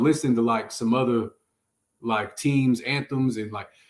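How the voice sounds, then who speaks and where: A man talks at a medium pitch and moderate pace. His intonation stays fairly even. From San Francisco, California. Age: 30s. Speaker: rapper. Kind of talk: casual chat.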